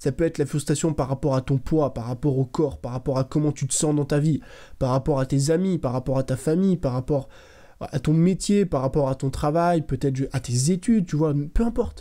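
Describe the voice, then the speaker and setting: In a quiet setting, a man speaks at a moderate pace. His tone is dark and mellow, his pitch fairly high. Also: ordinary pitch variation. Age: 20s. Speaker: content creator, motivational youtuber. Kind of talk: motivational monologue to camera. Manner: casual, direct. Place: home room. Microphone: studio mic.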